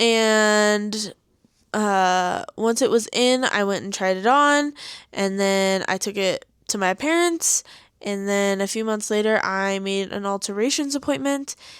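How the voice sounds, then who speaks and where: This woman has a Coloradan accent and a medium pitch with ordinary pitch variation. She speaks at a fairly slow pace on a very clean recording with a silent background. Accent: Coloradan, weak R's. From Colorado. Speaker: podcast co-host. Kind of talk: casual chat.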